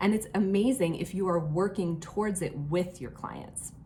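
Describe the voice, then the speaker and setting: Speaking at a moderate pace, a woman has a medium-pitched, somewhat breathy voice with a dark, mellow tone and ordinary pitch variation. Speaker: online fitness coach. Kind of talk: casual talk to camera. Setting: hotel room.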